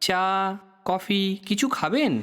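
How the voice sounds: A man puts on a character voice, high-pitched with a fairly bright, clear, smooth tone and lively intonation. He speaks at a very slow pace in a very clean recording with a silent background.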